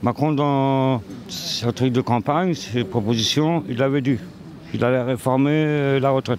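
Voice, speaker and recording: A man keeps his loudness very even and his pace fairly slow amid noticeable background noise. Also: medium pitch for a man, ordinary pitch variation. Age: 60s. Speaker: passer-by in street interview. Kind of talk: street interview.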